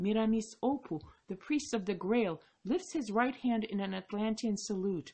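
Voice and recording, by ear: The pitch moves in an ordinary way. The delivery is reading aloud in a natural voice.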